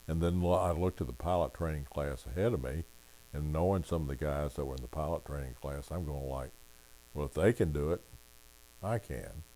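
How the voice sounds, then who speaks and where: A man speaks at a very deep, low pitch with a dark, mellow tone. His pace is fairly quick, with ordinary pitch variation. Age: 80s+. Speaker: Vietnam veteran pilot giving a talk at church. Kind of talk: church talk sharing personal experience.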